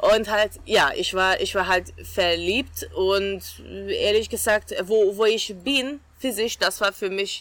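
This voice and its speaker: Bright and sharp in tone, a woman speaks with a Hungarian accent and vocal fry. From Hungary, Budapest. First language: Hungarian (speaking German). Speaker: winemaker. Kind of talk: interview.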